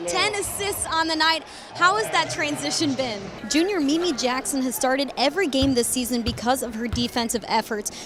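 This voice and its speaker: A woman's raised, projected voice, fairly quick and lively in intonation, with music in the background. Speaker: sports reporter / host. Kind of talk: sideline / game reporting.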